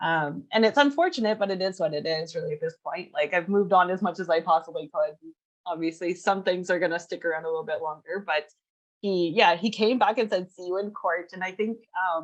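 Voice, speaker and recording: A woman with a Canadian accent and an ordinary speaking voice talks fairly quickly at a medium pitch with ordinary pitch variation. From western Canada (Edmonton, Vancouver, Kelowna). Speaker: freelancer guest. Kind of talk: casual interview chat.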